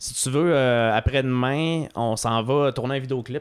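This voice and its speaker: The recording is very clean, with a silent background. A man uses a plain, everyday voice with a fairly high pitch and ordinary pitch variation. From Quebec, South Shore of Quebec City. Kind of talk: casual chat.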